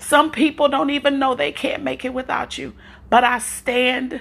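A woman with a warm tone speaks at a fairly slow pace. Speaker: prayer podcaster. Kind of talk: fervent prayer. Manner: fervent, impassioned; warm, encouraging.

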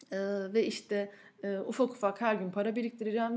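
Fairly quick speech from a woman, pitch varying in an ordinary way. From Turkey, Ankara. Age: 30s. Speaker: podcast host and food blogger. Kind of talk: personal monologue. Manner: frequent filler hesitations.

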